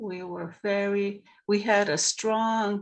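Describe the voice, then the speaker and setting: A woman with a Maritime Canadian accent and fairly even intonation. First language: Mi'kmaq. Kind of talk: panel discussion. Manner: halting.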